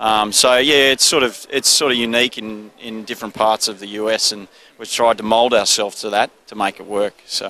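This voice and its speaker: A man with an Australian accent speaks fairly quickly at medium pitch with hardly any pauses and fairly even intonation. His loudness swings widely, and the sound is dry and close with no echo. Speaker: business owner. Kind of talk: trade show interview. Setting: trade show floor. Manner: laid-back.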